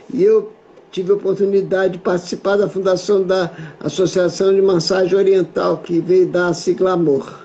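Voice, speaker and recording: Over noticeable background noise, a high-pitched man talks at a moderate pace with very even loudness and a monotone, flat intonation. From Rio de Janeiro, Brazil. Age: 70s. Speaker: massage therapist and teacher. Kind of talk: casual conversation interview.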